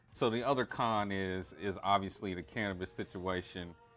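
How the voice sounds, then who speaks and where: Music plays in the background as a man with a fairly low voice speaks at a moderate pace with fairly even intonation. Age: 40s. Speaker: stream host. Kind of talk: casual chat. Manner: casual, halting with repeats.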